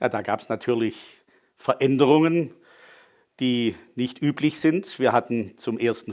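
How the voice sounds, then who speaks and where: A man talks at a fairly slow pace in a plain, everyday voice, medium in pitch with ordinary pitch variation. The recording is very clean and the background silent. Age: 60s. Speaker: city archivist. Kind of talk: interview.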